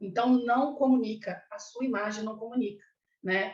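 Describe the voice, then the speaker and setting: A woman speaks at a fairly slow pace with a fairly high, somewhat breathy voice. Audible room echo surrounds her. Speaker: clown costume lecturer. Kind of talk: online lecture.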